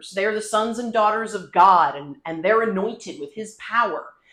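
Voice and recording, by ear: The speaker is reading aloud in a natural voice, the intonation staying fairly even.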